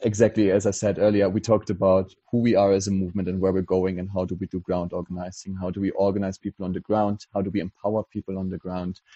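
A man with a German accent, fairly low in pitch, with monotone, flat intonation. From Germany. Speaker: political activist. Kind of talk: casual chat. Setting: video call.

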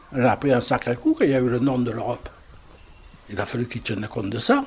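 Noticeable background noise sits behind a man speaking. He has a medium pitch and lively intonation. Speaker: former Resistance fighter. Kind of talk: interview. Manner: halting.

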